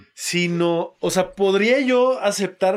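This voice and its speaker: The recording is very clean with a silent background, carrying a man's voice with ordinary pitch variation. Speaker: podcast host. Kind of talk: casual chat.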